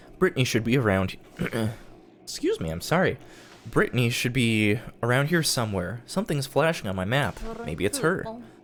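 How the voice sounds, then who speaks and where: The speech goes at a fairly quick pace, with noticeable background noise behind it. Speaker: video game streamer. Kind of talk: live gameplay commentary. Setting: live stream.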